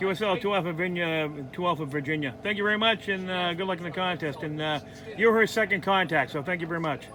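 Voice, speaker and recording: A high-pitched man, very fast, with ordinary pitch variation over noticeable background noise. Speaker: ham radio vlogger. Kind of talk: casual video outro; radio contact exchange. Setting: outdoor field day event. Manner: hesitant with many fillers.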